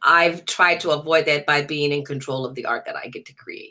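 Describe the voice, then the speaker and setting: A woman's very deep, low voice in a New Orleans accent, bright and sharp in tone, at a moderate pace. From US South, New Orleans. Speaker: jazz singer. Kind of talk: interview.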